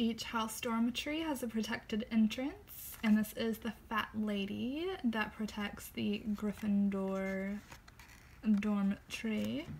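A woman at a very slow pace with ordinary pitch variation and light background noise. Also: fairly high pitch for a woman. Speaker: book reviewer. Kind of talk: book walkthrough, casual talk to camera. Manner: not whispered. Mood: cheerful, gentle. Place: home room. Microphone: phone near.

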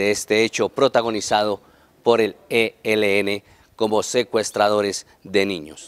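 The man speaks at a fairly slow pace. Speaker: TV journalist. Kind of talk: news report to camera. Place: street. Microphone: handheld.

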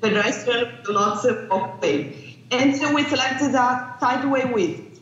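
A woman with a Portuguese accent talks at a very slow pace with lively intonation. Room echo can be heard. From Brazil. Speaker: landscape planning researcher; remote conference presenter. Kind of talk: conference presentation. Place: hall. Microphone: video call.

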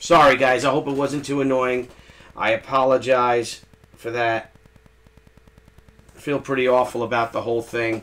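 With long, frequent pauses, a man speaks at a medium pitch in a fairly bright tone with little pitch movement. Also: moderate pace.

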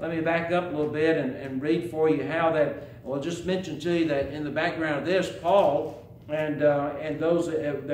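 A man at a moderate pace with fairly even intonation, audible room echo and light background noise. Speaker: preacher. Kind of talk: sermon. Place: church. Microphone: podium.

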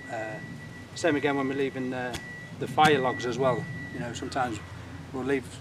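Noticeable background noise sits behind a man talking at a very fast pace. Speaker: bushcraft vlogger. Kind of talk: casual vlog chat. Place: forest.

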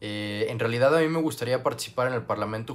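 A man talks at a fairly quick pace. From Mexico, Guadalajara, Jalisco. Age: 20s. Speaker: youth parliament applicant. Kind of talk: application video monologue. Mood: earnest, calm. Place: home room. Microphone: earbuds.

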